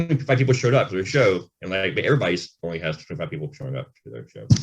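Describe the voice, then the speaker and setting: The speaker mumbles with vocal fry at a very fast pace. Loudness swings a lot, and pitch swings very widely. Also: man, very deep, low pitch for a man. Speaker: rock band frontman and singer. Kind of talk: casual interview chat. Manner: mumbling.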